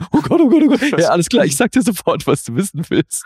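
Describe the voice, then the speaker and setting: Shaky and quick-paced, a put-on character voice swings very widely in pitch, with a dry, close sound with no echo. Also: man, extremely high pitch for a man. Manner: trembling, panicked.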